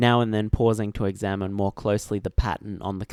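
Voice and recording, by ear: Read aloud in a natural voice, the passage keeps a fairly even intonation.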